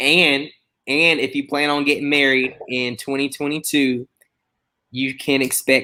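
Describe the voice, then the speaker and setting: In a Southern US accent, a man speaks with a bright, sharp tone. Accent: Southern country twang. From US South, Mobile, Alabama. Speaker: chef. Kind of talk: casual chat. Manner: animated.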